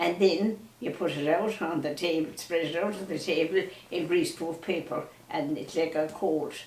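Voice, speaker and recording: A woman with a fairly low pitch speaks at a moderate pace, her intonation fairly even. There is audible room echo and noticeable background noise. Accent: western Irish. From Ireland, County Mayo. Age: 90s. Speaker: elderly storyteller. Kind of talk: reminiscing conversation. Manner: halting.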